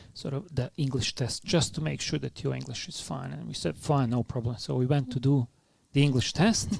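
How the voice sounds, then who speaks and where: A man speaks with a strong non-native accent. His pace is fairly quick, with ordinary pitch variation. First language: not English. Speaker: philanthropy leader, former refugee. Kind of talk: podcast interview. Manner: hesitant, many fillers.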